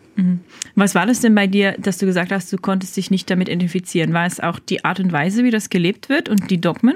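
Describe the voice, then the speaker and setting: Somewhat breathy, a woman speaks at a very fast pace with fairly even intonation. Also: medium pitch for a woman. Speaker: podcast host for a church channel. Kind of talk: casual interview chat.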